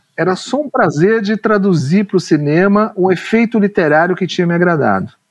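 The speech keeps a moderate pace and ordinary pitch variation, recorded with a dry, close sound and no echo. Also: man. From São Paulo, Brazil (Ipiranga). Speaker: screenwriter. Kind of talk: interview conversation. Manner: hesitant, repeats words.

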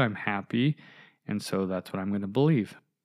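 Against a quiet background, a man talks in an ordinary speaking voice at a fairly quick pace. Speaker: podcast host. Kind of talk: solo podcast monologue, personal reflection. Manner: casual, rambling, with filler words.

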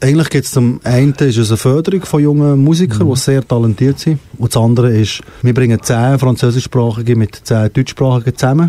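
Over noticeable background noise, a man speaks at a fairly quick pace and a medium pitch with very even loudness, the sound dry and close with no echo. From Switzerland, Fribourg (bilingual region). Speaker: singer and music academy founder. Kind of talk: interview. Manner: halting.

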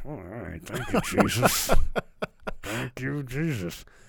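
Putting on a character voice, a man mumbles at a fairly slow pace, his medium pitch making very wide swings. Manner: mumbling.

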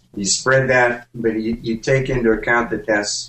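In a plain, everyday voice, a man talks at medium pitch and a moderate pace. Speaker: tech show panelist. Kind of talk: casual banter. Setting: video call.

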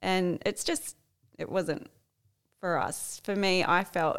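Very slowly, a woman with an Australian accent speaks at a fairly low pitch with fairly even intonation. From Australia, Sydney area. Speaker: swinger couple guest. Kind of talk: casual chat.

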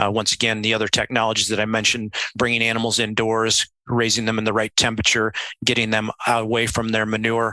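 Bright and sharp in tone, a man talks at a fairly quick pace in a dry, close sound with no echo. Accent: Midwestern American. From US Midwest, central Illinois. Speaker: swine veterinarian. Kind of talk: interview.

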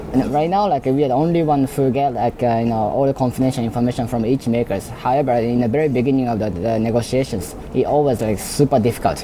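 A man with a Japanese accent talks at a very fast pace and medium pitch, with ordinary pitch variation and noticeable background noise. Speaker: robotics startup founder. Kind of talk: interview. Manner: halting, many fillers.

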